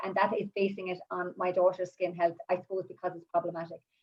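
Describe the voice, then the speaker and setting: A woman with an Irish accent, talking at a very fast pace. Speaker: essential oils advocate and mother. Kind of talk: live-streamed panel talk, personal testimony. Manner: halting, many fillers and restarts.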